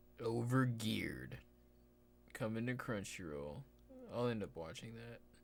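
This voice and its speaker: A man speaks at a fairly slow pace with lively intonation, and the room echo is audible. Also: medium pitch for a man. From Texas. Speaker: live streamer. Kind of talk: casual live stream chat. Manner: casual, laid-back; quiet, keeping voice down.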